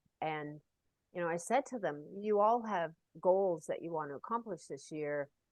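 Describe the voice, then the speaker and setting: Speaking at a moderate pace, a woman with an unremarkable speaking voice uses lively intonation at a fairly low pitch. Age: 60s. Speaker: Paralympic cyclist. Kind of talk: interview conversation.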